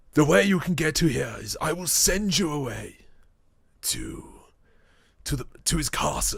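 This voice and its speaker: Putting on a character voice, a man speaks with a fairly high pitch at a moderate pace, leaving long, frequent pauses. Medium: actual play. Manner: polite, earnest.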